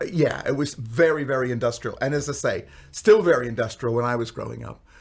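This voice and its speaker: A man with an American accent talks at a fairly quick pace in a somewhat breathy voice. His pitch is fairly high, with ordinary variation. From US, Pittsburgh, Pennsylvania. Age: 60s. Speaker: pastor and professional storyteller. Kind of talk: podcast interview. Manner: hesitant, many fillers.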